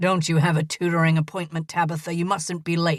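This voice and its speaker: Delivered at a fairly quick pace, the put-on character voice sits at a middle pitch with monotone, flat intonation. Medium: read story.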